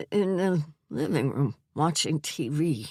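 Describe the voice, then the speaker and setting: A man's shaky, put-on character voice, fairly high in pitch, with lively intonation at a fairly slow pace. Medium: read story. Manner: halting, confused.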